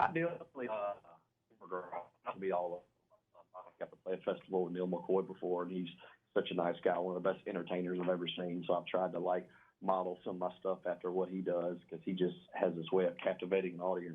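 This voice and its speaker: Talking at a very fast pace, a man has a very deep, low voice with a Southern US accent. His intonation stays monotone and flat. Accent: Southern US, noticeable. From Louisiana (West Monroe). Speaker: country singer. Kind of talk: radio interview. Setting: phone call.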